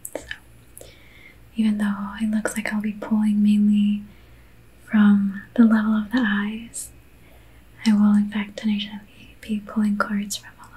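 Someone soft-spoken with an American accent talks at a moderate pace in a monotone, flat intonation, with long, frequent pauses. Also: woman, medium pitch for a woman. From Belgium. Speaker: reiki practitioner. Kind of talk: ASMR reiki session. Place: home room. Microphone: studio mic.

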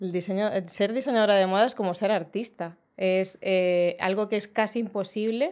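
A woman with an ordinary speaking voice, medium pitch, fairly even intonation and a fairly quick pace against a quiet background. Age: 40s. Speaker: fashion designer; guest. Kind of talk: casual chat. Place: studio. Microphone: studio mic.

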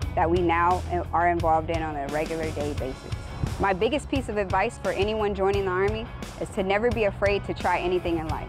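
Clear music plays in the background as a woman with an American accent talks at a fairly quick pace. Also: dry sound with no echo. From Orlando, Florida. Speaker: army recruiter. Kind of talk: recruiting testimonial to camera. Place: street.

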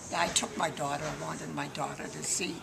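The speech moves at a moderate pace over noticeable background noise. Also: woman. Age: 80s+. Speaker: war veteran. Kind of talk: interview answer. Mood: cheerful, reminiscing. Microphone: camera far.

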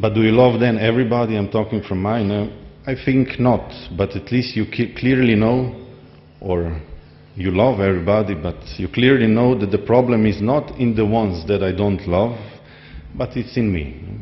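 A man talks in a Slovenian accent at a moderate pace. His pitch sits fairly low. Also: ordinary pitch variation. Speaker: society member; speaker. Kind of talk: speech. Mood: warm, smiling, reflective. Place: hall. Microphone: podium.

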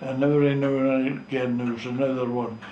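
With a strong North East Scottish accent, a man speaks in a monotone, flat intonation at a moderate pace, with audible room echo and light background noise. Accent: North East Scots dialect, strong. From North East Scotland, Gourdon; Scotland. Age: 90s. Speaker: retired fishing skipper. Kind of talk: oral history interview. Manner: halting. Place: home room.

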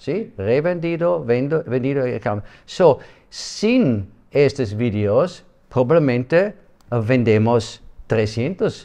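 A man's medium-pitched, dark, mellow voice with a non-native accent, very wide pitch swings and a very slow pace over a quiet background. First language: not Spanish (speaking Spanish). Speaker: project president. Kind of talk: interview. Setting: office. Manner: halting. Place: office.

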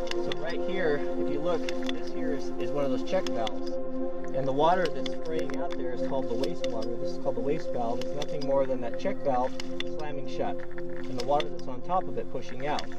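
Loud music plays in the background while the speech moves at a fairly quick pace. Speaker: host showing a pump. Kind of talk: tutorial explanation to a group. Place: open country. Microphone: camera far.

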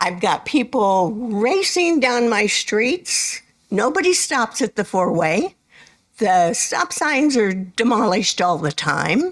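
Speaking at a very slow pace with an American accent, a woman keeps her loudness very even while her fairly high pitch moves through very wide swings. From Renton, Washington, US Pacific Northwest. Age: 70s. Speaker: member of the public giving comment. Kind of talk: public comment at city council meeting.

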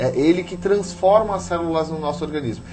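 A man talks at a high pitch. Music plays in the background. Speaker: ayurveda instructor guest. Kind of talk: interview answer. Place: studio.

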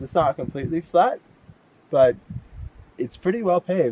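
A man at a moderate pace, with a dry, echo-free sound and light background noise. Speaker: hiker vlogger. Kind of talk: casual vlog chat. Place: open country. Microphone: phone near.

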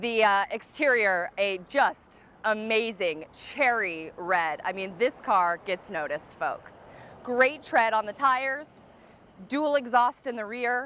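A woman's bright, sharp voice with lively intonation at a very slow pace, dry with no echo. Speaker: car salesperson. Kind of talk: sales presentation. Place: street.

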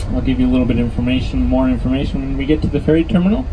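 A man's voice with music in the background. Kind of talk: passenger announcement. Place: bus.

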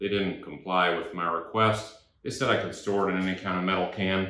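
In a room with audible echo, a man with a very deep, low pitch and a bright, sharp tone speaks at a moderate pace in a monotone, flat intonation. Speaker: DIY reviewer. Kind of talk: tutorial. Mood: wry, humorous. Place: garage.

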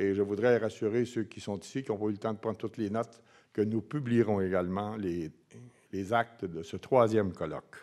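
Over a quiet background, a man with a Quebec accent speaks at a fairly quick pace with a fairly low pitch and fairly even intonation. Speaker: foundation president; speaker. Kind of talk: closing remarks speech. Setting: conference with audience. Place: hall. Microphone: podium.

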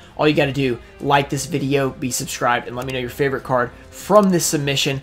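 Talking at a very fast pace with fairly even intonation, a man is heard over faint music in the background. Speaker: trading card collector youtuber. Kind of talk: casual vlog chat.

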